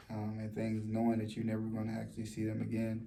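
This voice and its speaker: Soft-spoken man at a fairly low pitch, with audible room echo and noticeable background noise. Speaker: vlogger. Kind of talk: personal testimony vlog. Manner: soft-spoken, talking low; halting, many fillers and repetitions.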